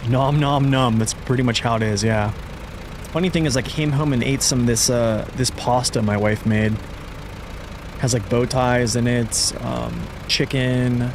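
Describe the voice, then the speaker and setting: A man at medium pitch talks at a fairly slow pace with very even loudness, amid noticeable background noise. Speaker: gaming streamer. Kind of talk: live gameplay stream chat. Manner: casual, halting with fillers.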